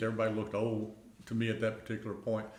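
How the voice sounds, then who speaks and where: A man's fairly low voice with audible room echo. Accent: Middle Tennessee. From Middle Tennessee (rural, near Pulaski). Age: 70s. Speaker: retiree. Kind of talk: oral history interview. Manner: halting, many fillers.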